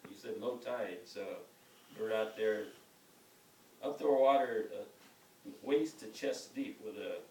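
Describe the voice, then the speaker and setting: Noticeable background noise surrounds a man who speaks at a fairly slow pace. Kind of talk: family storytelling.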